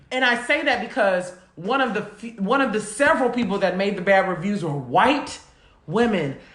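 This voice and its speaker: Animated in tone and lively in intonation, a woman with a fairly high voice speaks at a moderate pace amid noticeable background noise and audible room echo. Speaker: podcast co-host. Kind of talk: casual chat. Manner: loud.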